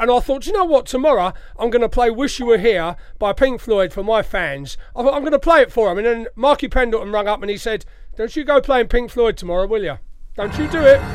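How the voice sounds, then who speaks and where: A man speaks at an extremely high pitch with an English accent. His pace is very fast and his intonation lively. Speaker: radio DJ. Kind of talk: chatty radio DJ patter between soul tracks, shout-outs and anecdotes. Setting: radio studio. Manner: cheeky, self-deprecating banter with wry asides; relaxed, rambling conversational storytelling.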